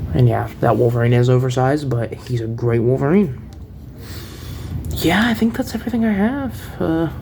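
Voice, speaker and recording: A man is heard over noticeable background noise. The room gives an audible echo. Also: moderate pace. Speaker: toy collector reviewer. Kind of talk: product review. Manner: casual, hesitant with many fillers.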